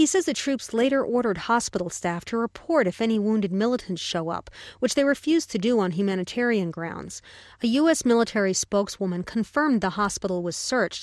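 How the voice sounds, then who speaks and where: Lively in intonation, a woman talks at a very fast pace with a fairly high pitch. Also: quiet background. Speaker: foreign correspondent. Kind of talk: news reading, scripted dispatch from abroad. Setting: field report from Kabul. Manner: formal, steady, matter-of-fact.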